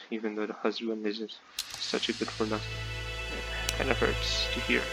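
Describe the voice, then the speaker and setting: A man speaks softly. Music plays behind him. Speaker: let's play commentator. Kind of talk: casual gameplay commentary. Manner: soft-spoken.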